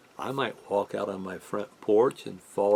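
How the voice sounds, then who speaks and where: Noticeable background noise sits behind a man speaking at a fairly slow pace. His voice is fairly low-pitched, with fairly even intonation. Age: 70s. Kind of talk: casual religious talk. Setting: home studio in living room.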